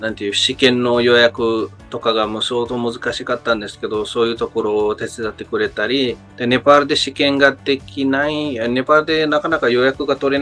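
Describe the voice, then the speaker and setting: Fairly quick delivery with ordinary pitch variation over music in the background. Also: man. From Nepal. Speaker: worker in Japan, job-agency client. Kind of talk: interview answer. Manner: hesitant, many fillers.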